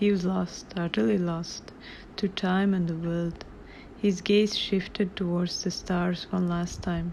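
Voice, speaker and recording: The speech moves at a fairly slow pace. It carries a non-native accent. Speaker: author. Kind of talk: reading aloud. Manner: awkward reading.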